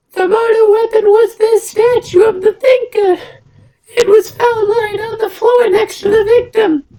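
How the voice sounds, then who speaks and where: A man puts on a squeaky character voice at an extremely high pitch. He speaks at a fairly slow pace. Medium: game stream. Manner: smug, pressing.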